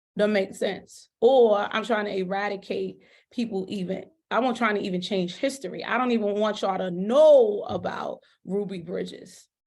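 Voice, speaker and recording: A woman's passionate, medium-pitched voice with vocal fry. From US, urban neighborhood. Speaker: school principal. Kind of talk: podcast interview.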